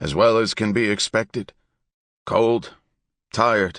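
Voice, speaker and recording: A man's raspy put-on character voice at a medium pitch, fairly slow, with a dry, close sound and no echo. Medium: read story.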